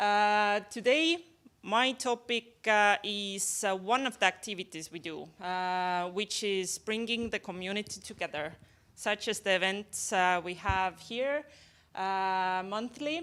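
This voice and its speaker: A woman at medium pitch and a very slow pace, with ordinary pitch variation. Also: very clean recording, silent background. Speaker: cybersecurity community coordinator. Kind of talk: event announcement. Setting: stage with audience.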